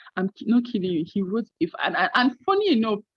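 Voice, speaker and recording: Her voice somewhat breathy, a woman rattles along at a very fast pace with lively intonation at a medium pitch. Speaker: medical residency match candidate. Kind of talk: interview.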